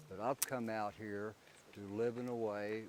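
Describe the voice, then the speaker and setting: A man's fairly low voice, a normal speaking voice, moves at a moderate pace. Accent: American. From Oklahoma, US. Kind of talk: interview testimony.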